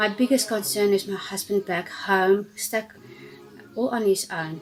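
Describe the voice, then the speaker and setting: Against noticeable background noise, a woman talks at a fairly slow pace with a medium pitch. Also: ordinary pitch variation. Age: 60s. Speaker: stranded traveller. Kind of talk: public appeal.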